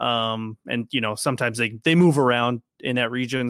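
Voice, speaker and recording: A man with an American accent speaks at a fairly quick pace in a medium pitch with ordinary pitch variation, an unremarkable speaking voice on a very clean recording with a silent background and a dry, close sound with no echo. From Minnesota. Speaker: Marine veteran and fantasy football podcaster. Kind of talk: casual chat.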